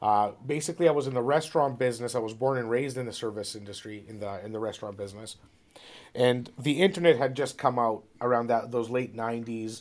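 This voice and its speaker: A man with a Toronto accent speaks at a fairly quick pace and medium pitch, with ordinary pitch variation. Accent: Canadian English (Toronto). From Ontario, Canada. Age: 40s. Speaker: real estate broker. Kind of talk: interview. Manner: hesitant, many fillers and repeats.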